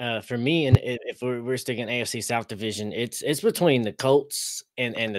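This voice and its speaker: A man with an American accent speaks with ordinary pitch variation, in a dry sound with no echo against a quiet background. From Oklahoma. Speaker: fan podcaster. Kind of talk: casual sports debate. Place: home room.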